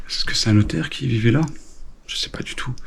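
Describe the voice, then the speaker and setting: A man speaks over noticeable background noise. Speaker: urban explorer vlogger. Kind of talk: exploration vlog narration. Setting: indoors in abandoned manor. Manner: hesitant, many fillers; speaking quietly.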